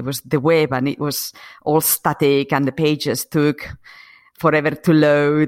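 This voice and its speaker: Someone with a Spanish accent speaks at a fairly slow pace. The recording is very clean, with a silent background and a dry, close sound with no echo. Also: woman. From Spain, Asturias. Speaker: acupuncturist, former computer scientist. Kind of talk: casual interview chat.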